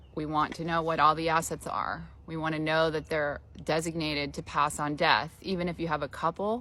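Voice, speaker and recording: Talking at a fairly quick pace, a woman has a very deep, low pitch, a bright, sharp tone, and vocal fry. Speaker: elder law attorney. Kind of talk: informal explainer talk. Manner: conversational, many filler ums.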